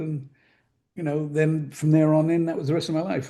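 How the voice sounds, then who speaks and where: With an American accent, a man talks very fast in a fairly high pitch, his tone dark and mellow and somewhat breathy, over a quiet background. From England (London), later New Jersey. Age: 70s. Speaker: magazine publisher. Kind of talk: interview conversation.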